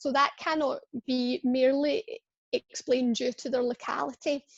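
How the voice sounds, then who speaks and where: Recorded with a dry, close sound and no echo, a woman with a Scottish accent speaks in a high pitch. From Scotland. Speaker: pain service clinician. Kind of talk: webinar presentation. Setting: online webinar.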